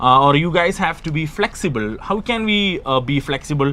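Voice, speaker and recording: Lively in intonation and fairly quick in pace, a man speaks with a Keralan accent. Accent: Indian English (Malayali). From Kerala, India. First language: Malayalam. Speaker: English exam tutor. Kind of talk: live stream lesson.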